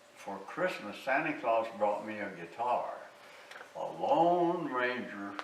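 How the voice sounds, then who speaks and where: A man with a Southern US accent at medium pitch and a very slow pace, with very wide pitch swings and big swings in loudness, amid noticeable background noise and audible room echo. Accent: Southern US rural. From US South, southwest Arkansas. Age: 90s. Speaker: war veteran, musician interviewee. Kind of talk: oral history interview. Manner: halting, many fillers.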